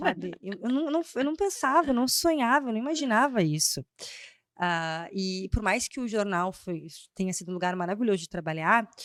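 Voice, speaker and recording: Very wide pitch swings mark a woman's medium-pitched voice at a moderate pace. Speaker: brand strategist and speaker. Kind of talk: podcast interview. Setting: studio. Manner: loud at times.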